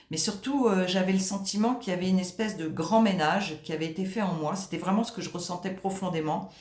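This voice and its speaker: A woman's medium-pitched voice with ordinary pitch variation, audible room echo and noticeable background noise. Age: 60s. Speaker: client giving a testimonial. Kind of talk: testimony. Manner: halting, many hesitations.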